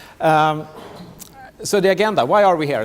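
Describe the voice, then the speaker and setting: A man's high voice at a moderate pace, ordinary pitch variation, and noticeable background noise. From Sweden. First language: Swedish. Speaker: tech company business manager. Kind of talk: conference presentation. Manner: halting, many fillers and repetitions.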